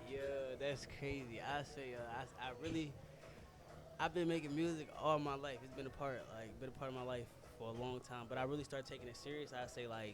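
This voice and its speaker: A man with an American accent talks at medium pitch and a fairly quick pace. Room echo is audible, along with noticeable background noise. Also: fairly even intonation. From Indianapolis, Indiana, US Midwest. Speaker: rapper. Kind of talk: casual interview chat.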